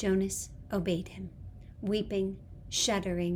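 What we hear is plain reading aloud.

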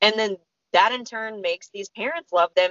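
At a moderate pace, a woman with a medium pitch and ordinary pitch variation talks in an ordinary speaking voice. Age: 30s. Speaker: podcast co-host. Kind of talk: casual chat.

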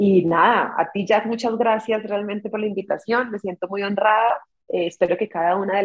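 At a fairly quick pace, a woman talks with an unremarkable speaking voice. Her pitch is medium and her intonation fairly even. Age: 40s. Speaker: dentist and social media content creator. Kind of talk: casual interview.

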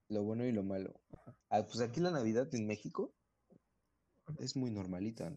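A man's medium-pitched, dark and mellow voice at a moderate pace, with ordinary pitch variation and long, frequent pauses. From central Mexico. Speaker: podcast co-host. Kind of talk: casual chat.

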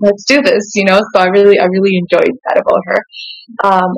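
A woman with a Canadian accent and a plain, everyday voice speaks at a medium pitch and moderate pace, the sound dry and close with no echo. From Saskatchewan, Canada (born South Sudan). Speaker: singer and musician. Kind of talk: interview. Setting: studio.

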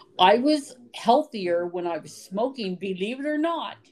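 A woman with an American accent and very wide pitch swings. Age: 50s. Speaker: podcast co-host. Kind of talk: casual chat.

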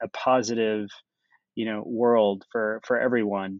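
A man speaks in a monotone, flat intonation at medium pitch. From United States. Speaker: tech startup founder. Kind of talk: interview. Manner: frequent fillers and hesitations.

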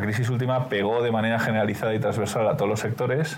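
Amid noticeable background noise and audible room echo, a man with a medium pitch talks at a very fast pace. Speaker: business executive. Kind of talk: interview.

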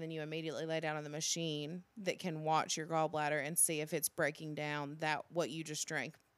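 This woman's voice sits very deep and low. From Alabama. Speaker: podcast co-host, government employee. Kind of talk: casual chat.

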